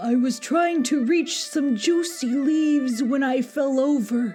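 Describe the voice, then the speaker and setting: Using a put-on character voice, a woman speaks at a fairly slow pace over clear background music. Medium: read story. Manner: friendly, reassuring.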